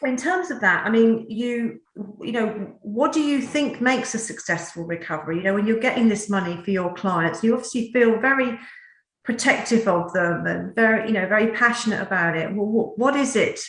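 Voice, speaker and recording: A woman with a Norfolk accent talks at a fairly quick pace and a fairly high pitch, with ordinary pitch variation. Audible room echo surrounds her voice. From England, Norfolk. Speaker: talk show host. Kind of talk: interview.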